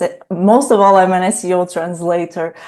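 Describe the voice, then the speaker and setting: Speaking at a fairly quick pace, a woman with a Portuguese accent has a fairly low pitch. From Portugal, Porto. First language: European Portuguese. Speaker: SEO translator. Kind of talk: interview. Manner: halting.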